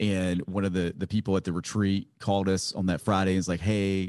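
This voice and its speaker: Against a quiet background, a man with an American accent speaks in a very deep, low pitch with monotone, flat intonation. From Virginia, small town. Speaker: podcast host, former pastor. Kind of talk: interview.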